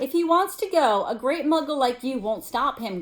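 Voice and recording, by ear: The speaker uses a put-on character voice, high in pitch and growling. The pace is moderate.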